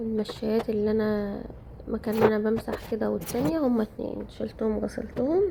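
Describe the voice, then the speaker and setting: A woman talks with an Egyptian accent at a moderate pace. Her pitch variation is ordinary, with noticeable background noise. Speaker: home vlogger. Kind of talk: casual vlog narration.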